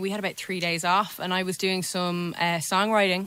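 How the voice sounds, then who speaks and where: A woman speaks with a Dublin accent. Her tone is bright and sharp. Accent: Dublin Irish. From Ireland, Dublin. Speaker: musician. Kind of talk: casual interview chat.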